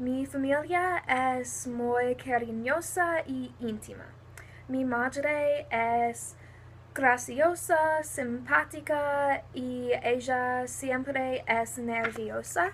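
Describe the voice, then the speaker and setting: Speaking at a very slow pace, a woman with a high voice and an American accent uses ordinary pitch variation. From New Jersey, US. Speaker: university student. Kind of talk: self-introduction for a Spanish class.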